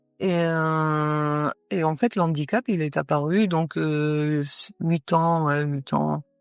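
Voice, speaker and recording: A woman speaks with a very deep, low pitch and fairly even intonation. Music plays in the background. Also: dry, close sound with no echo. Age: 60s. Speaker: paralympic athlete. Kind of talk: interview. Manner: halting, many hesitations.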